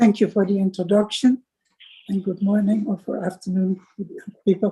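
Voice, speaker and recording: A woman with a Dutch accent speaks in a dark, mellow tone at medium pitch, somewhat breathy and flat in a monotone, at a moderate pace. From Netherlands, Amsterdam. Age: 90s. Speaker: Holocaust survivor. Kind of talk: testimony.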